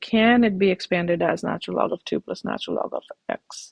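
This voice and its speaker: Speaking fairly slowly, a woman uses an unremarkable speaking voice at a medium pitch with ordinary pitch variation. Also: dry, close sound with no echo. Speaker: math teacher. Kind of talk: tutorial.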